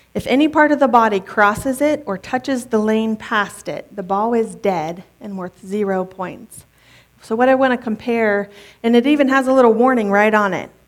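Here is a normal speaking voice, moving at a moderate pace with ordinary pitch variation. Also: woman, fairly high pitch for a woman. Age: 30s. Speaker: pastor's wife preaching. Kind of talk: sermon. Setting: church with congregation. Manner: conversational.

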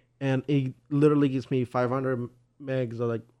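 The voice has a Spanish accent, a dark, mellow tone and monotone, flat intonation. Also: man. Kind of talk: casual chat.

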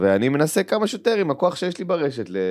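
Here a man speaks at a very fast pace. His pitch swings very widely. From Israel, West Bank settlement. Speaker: stand-up comedian. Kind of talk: casual interview. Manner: animated, repetitive stammering.

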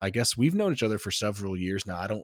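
This is a man speaking. His pitch is fairly low. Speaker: podcast host. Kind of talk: casual conversation interview.

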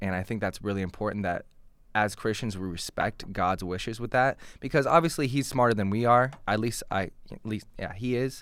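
A man speaks in a normal speaking voice at a medium pitch with ordinary pitch variation. The recording is very clean, with a silent background. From Portland, Oregon. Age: 20s. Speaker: podcast host. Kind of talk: casual chat.

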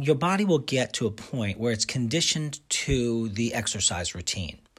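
A man speaks at a medium pitch in an animated tone. His intonation is lively. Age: 50s. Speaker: radio host and nutritionist. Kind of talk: monologue radio show.

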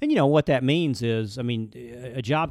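A man with an Alabama accent speaks with ordinary pitch variation. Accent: Southern US (Alabama). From US South, Birmingham, Alabama. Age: 50s. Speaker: commercial banker. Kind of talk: casual chat. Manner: fast.

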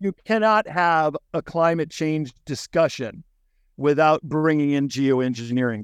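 A man with an unremarkable speaking voice talks at a fairly slow pace and a fairly high pitch, with ordinary pitch variation. The background is quiet. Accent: American. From Chicago, US Midwest. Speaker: author and book publisher. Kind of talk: interview conversation. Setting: warehouse, remote interview.

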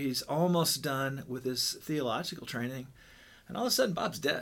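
The speaker has an ordinary speaking voice with an American accent. The pace is moderate and the pitch varies in a normal way. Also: man. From Southern Illinois. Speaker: pastor. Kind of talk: casual chat.

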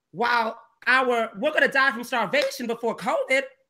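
Bright, sharp and animated, a woman's fairly high voice moves at a moderate pace with ordinary pitch variation. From US South, Georgia. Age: 30s. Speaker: activist. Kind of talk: casual chat.

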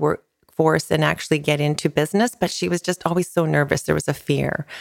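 A woman speaks with a Western Canadian accent at a very deep, low pitch, with ordinary pitch variation. The sound is dry and close, with no echo. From Canada, British Columbia interior (Castlegar). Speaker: realtor and business owner. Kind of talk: casual interview conversation. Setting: outdoor poolside studio.

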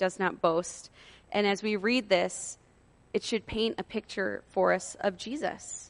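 A woman's unremarkable speaking voice, medium in pitch, with fairly even intonation and a fairly slow pace over a quiet background. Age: 30s. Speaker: campus minister / preacher. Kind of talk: sermon.

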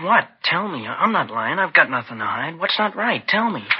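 A man uses a put-on character voice at fairly high pitch, with big pitch swings, a husky, rough edge and a moderate pace.

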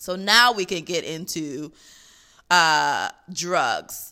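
Against a silent background in a very clean recording, a woman speaks with a bright, sharp tone at a fairly low pitch with ordinary pitch variation. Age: 30s. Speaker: podcast host. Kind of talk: casual monologue.

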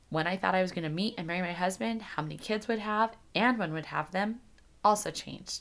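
Over a silent background in a very clean recording, a woman with a plain, everyday voice talks fairly quickly at a medium pitch. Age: 30s. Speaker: podcast host. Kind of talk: solo podcast monologue. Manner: casual, conversational.

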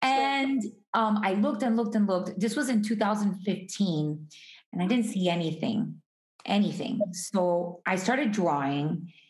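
An American accent colors this woman's medium-pitched, somewhat breathy voice with an energetic tone. She speaks at a fairly slow pace with audible room echo. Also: lively intonation, very even loudness. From Miami, Florida (Hialeah). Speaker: artist and entrepreneur. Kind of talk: interview conversation.

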